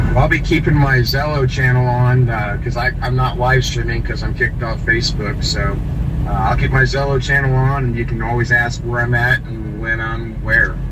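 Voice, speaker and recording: A man talks at a middling speed, with room echo audible and background noise noticeable. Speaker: convoy participant. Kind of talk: casual chat. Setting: radio/app voice channel.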